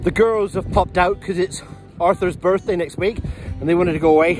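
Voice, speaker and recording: Recorded dry with no echo and faint music in the background, a man speaks at a high pitch. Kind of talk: casual vlog chat. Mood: cheerful, playful. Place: open country. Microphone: phone near.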